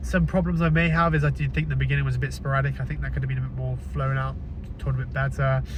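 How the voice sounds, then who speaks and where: The speech goes at a very fast pace. Noticeable background noise and audible room echo come through. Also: man, very deep, low pitch for a man. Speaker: film vlogger. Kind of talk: casual film review vlog. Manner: halting, hesitant.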